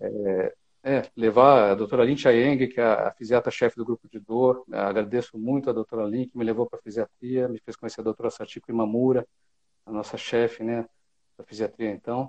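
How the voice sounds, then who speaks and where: At a moderate pace, a man with a medium pitch talks in a monotone, flat intonation, his loudness swinging widely in a dry, close sound with no echo. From Brazil, São Paulo state. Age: 50s. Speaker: physiatrist and medical professor. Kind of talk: expert interview.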